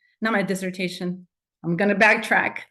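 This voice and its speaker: A woman in a Spanish accent, monotone and flat in intonation. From Mexico. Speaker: doctoral graduate. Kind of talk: tribute speech. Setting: video call. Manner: halting.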